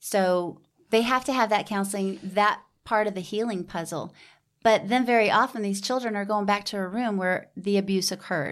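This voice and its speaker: A woman with a Texan accent, medium pitch and moderate pace, in a very clean recording with a silent background. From Houston, Texas. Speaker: nonprofit founder. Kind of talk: interview. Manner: animated.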